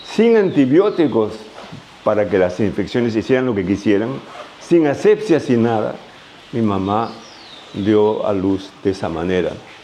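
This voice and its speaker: Amid noticeable background noise, a man with a fairly low voice and ordinary pitch variation speaks at a fairly slow pace with long, frequent pauses. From Peru, Ica. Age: 80s+. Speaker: retired doctor and farmer. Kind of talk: interview.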